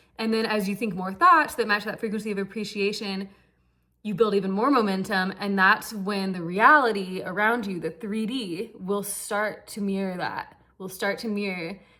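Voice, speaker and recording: Intonation stays fairly even. The tone is bright and sharp. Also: woman, medium pitch for a woman. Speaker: manifestation coach / vlogger. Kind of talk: casual monologue vlog. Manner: fast; casual, filler-heavy.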